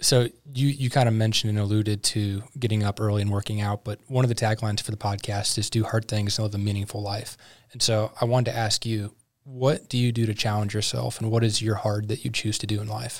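At a very fast pace, a man with an American accent speaks in a monotone, flat intonation at a fairly low pitch, somewhat breathy, in a very clean recording with a silent background. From US Midwest, St. Louis. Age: 20s. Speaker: podcast host. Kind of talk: interview. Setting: studio.

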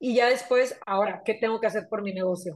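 A woman's fairly high pitch with ordinary pitch variation, an ordinary speaking voice. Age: 30s. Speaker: entrepreneur and mother. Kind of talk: casual conversational interview.

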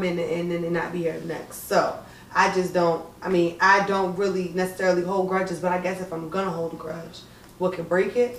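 At a fairly quick pace, a woman speaks amid audible room echo and noticeable background noise. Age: 20s. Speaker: podcast co-host. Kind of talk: casual chat.

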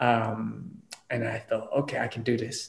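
A man keeps a moderate pace, his voice set at a medium pitch. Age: 20s. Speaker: podcast host. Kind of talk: casual chat.

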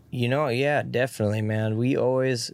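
In a very clean recording with a silent background, a man speaks in an ordinary speaking voice at medium pitch, with fairly even intonation and a moderate pace. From northern California. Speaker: country musician. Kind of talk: casual chat. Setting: in a van.

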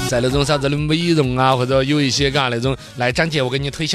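Over noticeable background noise, a man with a Sichuan accent talks at a very fast pace in an animated tone. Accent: Sichuan Mandarin. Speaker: radio host. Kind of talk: casual monologue.

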